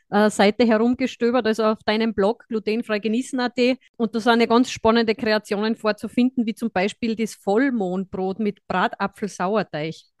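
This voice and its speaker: With a strong Austrian accent, a woman speaks at a moderate pace in a fairly high pitch with fairly even intonation, recorded with a dry, close sound with no echo against a quiet background. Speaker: podcast host, dietitian. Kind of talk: casual chat.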